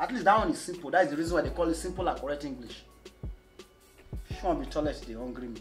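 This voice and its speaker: Against clear music in the background, a man talks at a very fast pace broken by long, frequent pauses. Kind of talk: comedy skit dialogue. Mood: mock exasperated, scolding. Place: home room.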